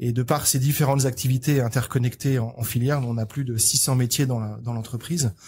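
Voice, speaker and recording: A man with a medium-pitched, somewhat breathy voice talks at a fairly quick pace with hardly any pauses. His intonation stays fairly even. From France. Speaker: agricultural equipment company manager. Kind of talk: podcast interview. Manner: halting.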